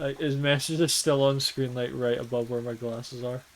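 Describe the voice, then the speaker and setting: In a Scottish accent, a man speaks at a medium pitch. His intonation is monotone and flat. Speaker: gaming streamer. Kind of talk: casual chat. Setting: live stream.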